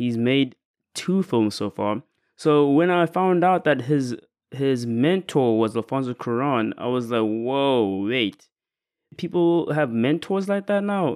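Speaking very slowly, a man uses lively intonation at a medium pitch. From South Africa. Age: 20s. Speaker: podcast host, filmmaker. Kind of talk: casual monologue film review.

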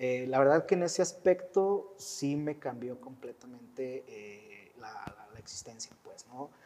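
This man has a normal speaking voice, fairly high in pitch, with lively intonation. He talks at a fairly slow pace, and his loudness swings widely. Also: hardly any pauses. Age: 40s. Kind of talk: testimony.

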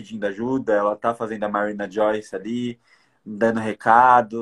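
This is a man with a plain, everyday voice, medium in pitch, at a moderate pace. The sound is dry and close with no echo, over a quiet background. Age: 20s. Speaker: podcast host. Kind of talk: casual chat.

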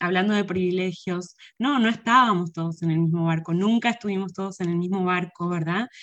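At a moderate pace, a woman talks with an Argentine accent and a medium pitch. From Argentina. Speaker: academic and book publisher. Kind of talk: interview conversation.

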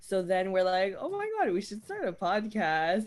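A woman talks at a moderate pace. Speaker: podcast co-host, guest. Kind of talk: casual chat. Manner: loud.

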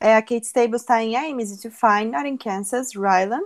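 A plain, everyday voice at a moderate pace, with ordinary pitch variation and a dry, close sound with no echo. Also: woman. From Brasília, Brazil. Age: 20s. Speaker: podcast co-host, audiovisual translator. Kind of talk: casual chat.

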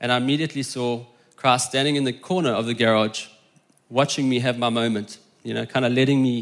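A man's unremarkable speaking voice, medium in pitch, at a fairly quick pace with fairly even intonation. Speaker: church member. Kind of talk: testimony. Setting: church.

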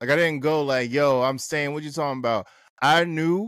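A man with an American accent speaks in an ordinary speaking voice at a fairly quick pace with ordinary pitch variation, on a very clean recording with a silent background. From New Jersey. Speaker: author and photographer. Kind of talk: casual interview chat. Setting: studio.

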